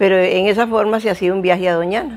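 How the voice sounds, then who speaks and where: This woman speaks very fast at a medium pitch. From Costa Rica, Esparza (Puntarenas). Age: 80s+. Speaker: local oral historian and storyteller. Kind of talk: oral history interview, reminiscing. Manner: halting, with frequent repetitions.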